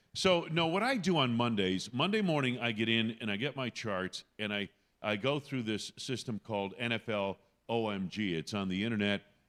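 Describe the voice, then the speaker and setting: In a very clean recording with a silent background, a man with an unremarkable speaking voice talks at a medium pitch and moderate pace, with lively intonation. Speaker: radio play-by-play announcer. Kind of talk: interview answer. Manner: conversational, explanatory.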